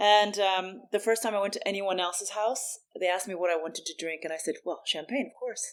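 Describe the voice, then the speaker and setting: An ordinary speaking voice moves at a fairly quick pace with hardly any pauses, ordinary pitch variation, and big swings in loudness, all in a very clean recording with a silent background. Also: woman, medium pitch for a woman. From US Midwest, St. Louis, Missouri. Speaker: bar industry consultant. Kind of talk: podcast interview.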